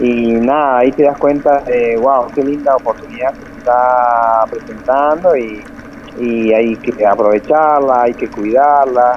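Noticeable background noise behind a man at a medium pitch, fairly slow pace, fairly even intonation and big swings in loudness. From Argentina, Santa Cruz, Patagonia (Río Gallegos, El Calafate). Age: 30s. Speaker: mountain bike racer. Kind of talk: radio interview. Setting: phone call. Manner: halting, many fillers and repetitions.

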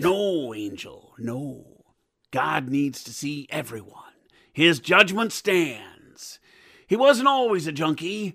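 A man talks at a very slow pace with a fairly high pitch. His pitch swings very widely and his loudness swings a lot. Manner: calm, sermonizing, menacing.

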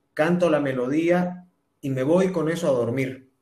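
In a room with audible echo, a man with a high pitch talks fairly slowly, his pitch varying in an ordinary way. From Bolivia, Santa Cruz. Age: 30s. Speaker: singer-songwriter and TV presenter. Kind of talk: interview testimony. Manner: halting with repetitions.

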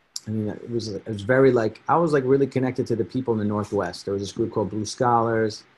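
Delivered at a fairly quick pace, a normal speaking voice keeps a fairly even intonation. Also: man. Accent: American. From New Jersey (Edison). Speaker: rapper. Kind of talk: casual chat.

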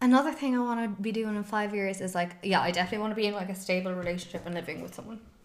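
In a Cork accent, a woman speaks at a very fast pace with hardly any pauses, medium pitch and ordinary pitch variation, with audible room echo and noticeable background noise. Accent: Cork Irish. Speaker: podcast co-host. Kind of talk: casual chat. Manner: animated.

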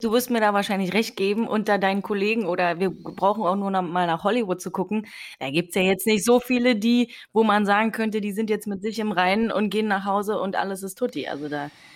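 In an ordinary speaking voice, a woman of medium pitch talks at a fairly quick pace with fairly even intonation. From eastern Germany, Potsdam. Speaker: podcast host. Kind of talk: interview.

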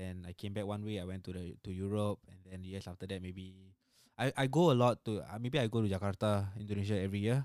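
In a Singaporean accent, a man with a fairly low voice speaks at a very fast pace with fairly even intonation and big swings in loudness. The sound is dry and close with no echo, on a very clean recording with a silent background. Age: 20s. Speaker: road accident survivor. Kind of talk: testimony.

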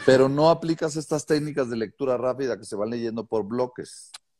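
Speaking at a moderate pace, a man with an ordinary speaking voice uses a medium pitch and lively intonation. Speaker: podcast host. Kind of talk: interview.

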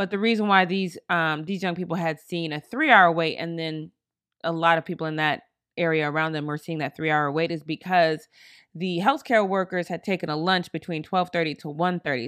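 A woman with an unremarkable speaking voice talks fairly quickly at a fairly low pitch, varying it an ordinary amount. The sound is dry and close with no echo, on a very clean recording with a silent background. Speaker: podcast host. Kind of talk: podcast hosting, scripted-style monologue with interview clips.

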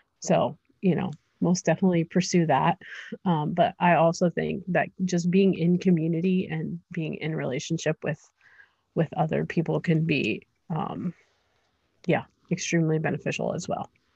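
A woman with an American accent speaks at a moderate pace in a fairly low pitch, her tone dark and mellow with vocal fry and fairly even intonation. She leaves long, frequent pauses over a quiet background. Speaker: entrepreneur. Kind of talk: interview. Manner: hesitant, many fillers.

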